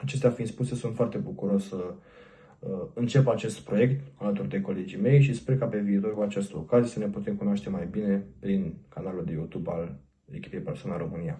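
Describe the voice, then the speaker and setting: This man's tone is dark, mellow and somewhat breathy. His pitch is fairly low. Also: lively intonation. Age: 20s. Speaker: fan page admin. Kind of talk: scripted self-introduction.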